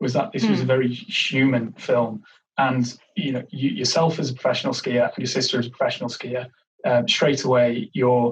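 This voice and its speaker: A man talks fairly quickly in a medium pitch. There is some breathiness to his voice. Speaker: podcast host. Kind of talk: podcast interview questions.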